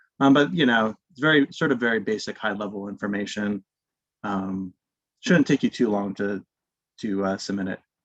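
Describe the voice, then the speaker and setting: A man's fairly low voice with ordinary pitch variation, dry and close with no echo. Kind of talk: webinar presentation. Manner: fast.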